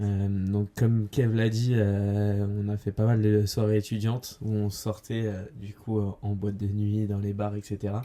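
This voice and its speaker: A man's fairly low, dark, mellow voice at a fairly slow pace, with monotone, flat intonation and hardly any pauses. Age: 20s. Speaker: entrepreneur, podcast co-host. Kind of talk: casual chat. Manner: hesitant, many fillers.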